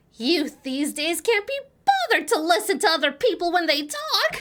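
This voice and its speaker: Putting on a character voice, a woman sounds shrill at an extremely high pitch while keeping a moderate pace. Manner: complaining about young people.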